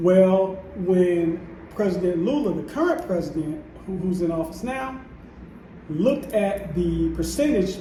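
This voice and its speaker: A man's high voice with ordinary pitch variation, fairly slow pace, audible room echo and noticeable background noise. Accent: American. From United States. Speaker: vlogger. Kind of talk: casual vlog monologue. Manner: stumbling, repeats words.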